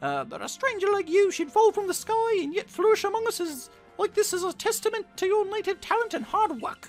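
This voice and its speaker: Over faint music, a man puts on a squeaky character voice with an extremely high pitch, going at a fairly quick pace with hardly any pauses. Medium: game stream. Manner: formal, stern.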